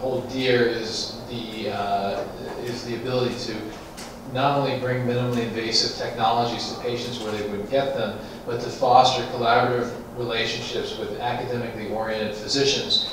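A man speaks with monotone, flat intonation. Noticeable background noise and strong room echo surround him. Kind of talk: press conference remarks. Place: meeting room.

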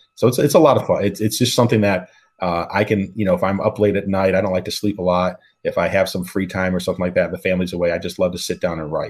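A man speaks fast at a low pitch, with a slightly mellow tone. His intonation is fairly even, with a slightly husky edge.

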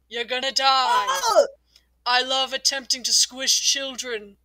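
A high-pitched, put-on character voice. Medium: fan dub. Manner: smug, sarcastic, bored menace.

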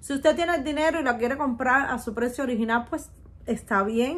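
Pitched high, a woman talks with ordinary variation in her pitch. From Cuba. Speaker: beauty youtuber, perfume reviewer. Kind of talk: product review vlog. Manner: animated. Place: home room. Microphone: phone near.

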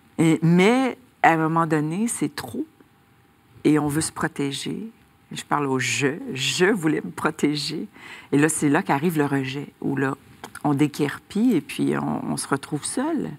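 A woman speaks at a fairly slow pace, with long, frequent pauses and lively intonation. Her pitch is very deep and low, with vocal fry. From Quebec. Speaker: author, recovered addict giving testimony; interview guest. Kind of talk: faith testimony interview. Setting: TV studio. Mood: warm, emotional personal testimony. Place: studio. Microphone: lapel.

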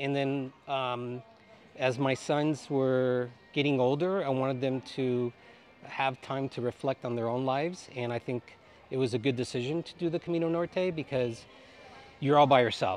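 Over music in the background, a man speaks at a moderate pace with long, frequent pauses. His intonation is fairly even and the sound is dry with no echo. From Cuba. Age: 50s. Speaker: pilgrim. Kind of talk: interview. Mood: calm, reflective. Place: street. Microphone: lapel.

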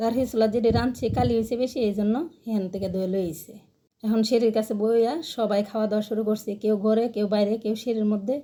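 Her voice is fairly high in pitch with a dark, mellow tone, and this woman keeps her intonation fairly even. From Bangladesh, Brahmanbaria region. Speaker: cooking and village-life vlogger. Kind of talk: casual vlog narration. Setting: outdoors in a village.

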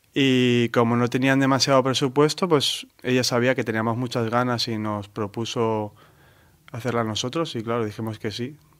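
This man has a plain, everyday voice with fairly even intonation. His recording is very clean, with a silent background. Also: medium pitch for a man, moderate pace. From Valencia, Spain. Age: 30s. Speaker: artist. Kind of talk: interview.

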